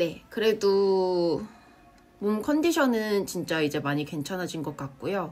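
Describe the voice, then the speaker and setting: Using lively intonation, a woman speaks at a very slow pace. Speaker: vlogger. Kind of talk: casual vlog talk.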